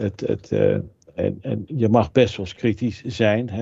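A man's dark, mellow tone with vocal fry, at a moderate pace. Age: 60s. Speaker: food technologist and author. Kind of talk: interview.

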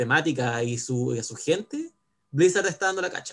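A man with a Chilean accent talks at a fairly quick pace in a fairly high pitch, his voice somewhat breathy. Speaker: English teacher. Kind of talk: casual chat.

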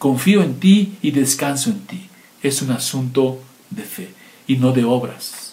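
Audible room echo and noticeable background noise surround a man whose pitch swings very widely. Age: 50s. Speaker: pastor. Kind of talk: sermon.

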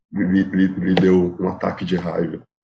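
A very deep, low male voice with a dark, mellow tone. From Piauí, northeast Brazil. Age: 20s. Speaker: public attorney. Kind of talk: casual chat.

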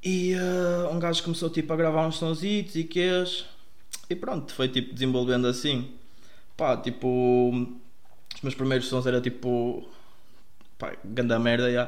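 Audible room echo surrounds a man who speaks at a fairly slow pace and medium pitch, with ordinary pitch variation and long, frequent pauses. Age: 20s. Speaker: music producer. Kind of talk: casual chat.

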